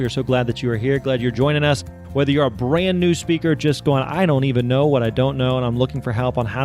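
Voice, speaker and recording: With music in the background, a man speaks at medium pitch and a very fast pace, in an upbeat tone with ordinary pitch variation. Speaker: podcast host. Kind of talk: podcast intro.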